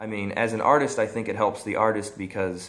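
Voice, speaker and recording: A man with an American accent talks at a fairly quick pace in a fairly low pitch, his intonation fairly even, with audible echo from the room. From US Midwest, central Illinois. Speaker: vlogger. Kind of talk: casual vlog monologue. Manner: halting, many repeats and fillers.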